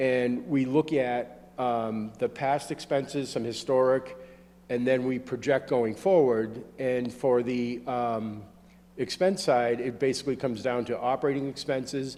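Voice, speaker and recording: With a dark, mellow tone and medium pitch, a man talks at a fairly slow pace using fairly even intonation. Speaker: engineering consultant. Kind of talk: public meeting presentation. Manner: halting, with many fillers.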